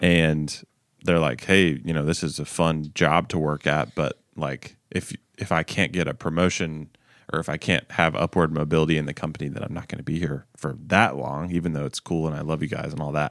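Very deep and low for a man, this voice has vocal fry and fairly even intonation, recorded very cleanly against a silent background with a dry, close sound and no echo. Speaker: podcast host and coffee company founder. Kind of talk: casual chat. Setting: studio.

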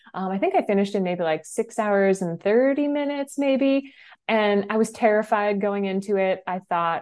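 Against a quiet background, a woman with an American accent uses a normal speaking voice at medium pitch. She keeps a moderate pace with lively intonation and hardly any pauses. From New Hampshire, US. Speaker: ultrarunning coach. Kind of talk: casual chat.

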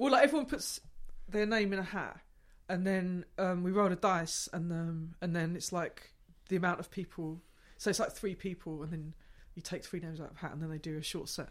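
In a very clean recording with a silent background, a woman with a southeast English accent speaks at a fairly quick pace, her loudness swinging widely. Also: ordinary pitch variation. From southeast England, Gravesend, Kent. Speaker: improvising musician and gig organizer. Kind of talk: casual interview. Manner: halting, many fillers and restarts.

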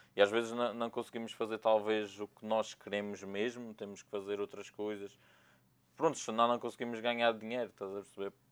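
A man's fairly low voice, flat and monotone in intonation, at a moderate pace. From Madeira, Portugal. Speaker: videographer. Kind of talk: casual interview.

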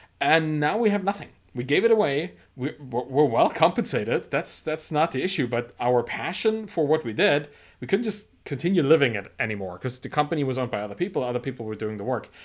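In a very clean recording with a silent background, a man with a German accent talks at a very fast pace with very wide pitch swings. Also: fairly high pitch for a man. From Germany. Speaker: entrepreneur and author. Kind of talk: interview. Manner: halting, frequent repetitions.

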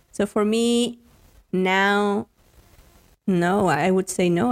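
A woman's medium-pitched voice with ordinary pitch variation, dry and close with no echo. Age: 30s. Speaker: content creator and digital marketer. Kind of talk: interview. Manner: halting, many fillers and repeated words.

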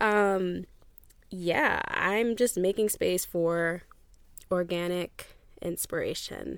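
On a very clean recording with a silent background, a woman has an ordinary speaking voice at medium pitch with ordinary pitch variation. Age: 20s. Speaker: podcast host. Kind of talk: casual solo podcast monologue. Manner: casual, conversational.

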